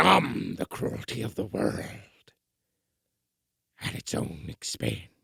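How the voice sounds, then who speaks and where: Putting on a raspy character voice, a man speaks at a fairly slow pace with a very deep, low pitch and long, frequent pauses. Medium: audio drama. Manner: quiet, disbelieving.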